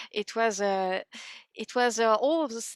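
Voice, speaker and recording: A woman speaks with a French accent at a fairly slow pace. The sound is dry and close with no echo, on a very clean recording with a silent background. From France, Paris area. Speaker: harmonica player. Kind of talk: interview. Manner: halting.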